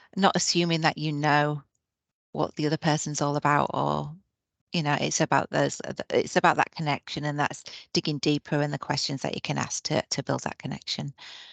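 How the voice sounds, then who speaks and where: With a Yorkshire accent, a woman speaks in a very deep, low pitch with vocal fry and monotone, flat intonation, the sound dry and close with no echo. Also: quiet background. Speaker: nurse manager. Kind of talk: webinar presentation. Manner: hesitant, many fillers.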